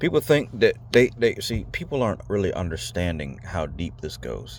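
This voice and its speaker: A man speaks with a very deep, low pitch and vocal fry. His pitch swings very widely and his loudness shifts greatly. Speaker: video blogger. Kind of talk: monologue to camera. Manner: fast; halting, repeats words.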